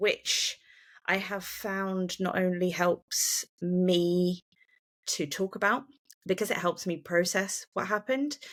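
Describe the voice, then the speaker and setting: On a very clean recording with a silent background, a woman speaks at medium pitch with ordinary pitch variation and a very slow pace. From England, Shropshire. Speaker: bereaved mother and podcaster. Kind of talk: interview, personal testimony. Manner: hesitant, many fillers.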